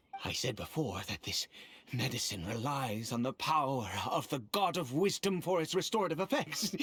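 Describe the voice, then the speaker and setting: A put-on character voice, low-to-middle in pitch, at a moderate pace. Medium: video game. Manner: formal, measured.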